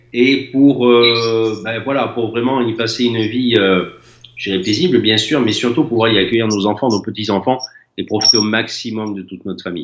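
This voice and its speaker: A man with a normal speaking voice, a medium pitch, fairly even intonation and a moderate pace. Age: 60s. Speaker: former building contractor. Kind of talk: testimony.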